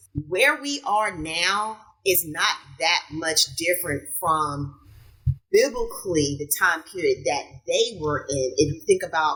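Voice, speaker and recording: Speaking very slowly in a Southern US accent, a woman with a fairly low pitch uses lively intonation. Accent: Southern drawl. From US South. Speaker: podcast guest. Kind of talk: casual chat.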